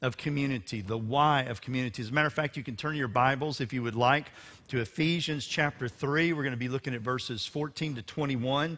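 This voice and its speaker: Barely pausing at all, a man talks at a fairly quick pace in a bright, sharp tone with ordinary pitch variation. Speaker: pastor. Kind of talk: sermon. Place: church. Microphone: headset.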